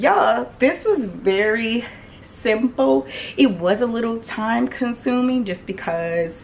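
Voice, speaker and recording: Very slowly, a woman speaks with lively intonation. Light background noise is present. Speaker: lifestyle vlogger. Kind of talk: casual vlog chat. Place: home room. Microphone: phone near.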